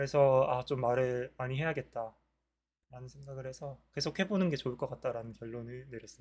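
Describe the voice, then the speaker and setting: A man's voice with big swings in loudness and ordinary pitch variation. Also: medium pitch for a man, fairly quick pace. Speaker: vlogger practicing speaking. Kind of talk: solo talk to camera. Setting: recording alone to camera. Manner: mumbled pronunciation; halting, many self-corrections.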